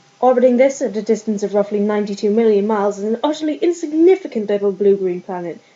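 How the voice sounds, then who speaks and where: Against noticeable background noise, a woman with a fairly high pitch talks at a fairly quick pace, her pitch varying in an ordinary way. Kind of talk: book reading.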